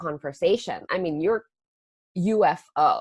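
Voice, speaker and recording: A woman speaks with an Indonesian accent. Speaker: astrology teacher and podcast host. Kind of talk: casual chat.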